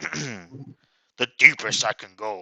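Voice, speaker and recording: A man puts on a character voice pitched fairly low. It sounds raspy and strained. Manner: deliberately lowered pitch.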